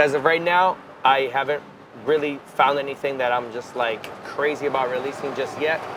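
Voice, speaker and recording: A man's fairly high voice with a Spanish accent, fairly quick pace and fairly even intonation, over noticeable background noise. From Miami, Florida (Cuban-American). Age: 30s. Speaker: musician. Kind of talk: interview.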